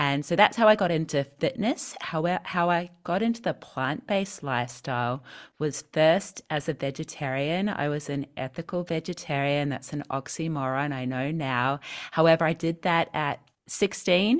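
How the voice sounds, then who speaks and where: With a New Zealand accent, a woman speaks in a very deep, low pitch. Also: lively intonation, moderate pace. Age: 40s. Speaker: personal trainer and vegan health coach. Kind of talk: interview. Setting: video call.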